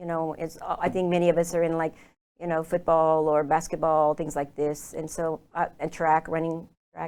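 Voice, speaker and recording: With an Oklahoma accent, a woman speaks at a moderate pace against a quiet background. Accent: American, Oklahoma. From Oklahoma, US. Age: 60s. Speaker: lifestyle consultant. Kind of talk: interview.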